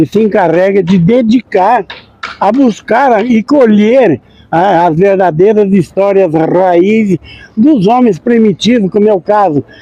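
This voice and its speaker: A man's high-pitched voice with ordinary pitch variation, very even loudness, and a fairly slow pace, dry and close with no echo. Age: 70s. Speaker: accordion player. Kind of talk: interview.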